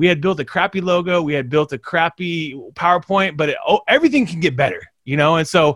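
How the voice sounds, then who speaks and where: A man with a high pitch delivers his words in an energetic tone, the sound dry and close with no echo. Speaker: social media agency CEO and podcast host. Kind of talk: interview. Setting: video call.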